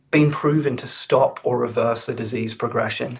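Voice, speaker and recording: This man talks at a moderate pace with an Australian accent. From Australia, Sydney. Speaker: research scientist. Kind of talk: webinar presentation.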